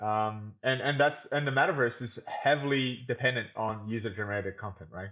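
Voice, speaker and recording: A man at a medium pitch and a moderate pace. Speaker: podcast co-host. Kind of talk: casual chat.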